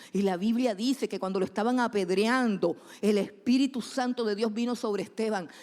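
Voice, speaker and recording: A woman speaks with a fairly high pitch and ordinary pitch variation. Her tone is animated. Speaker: preacher. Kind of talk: sermon. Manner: fast.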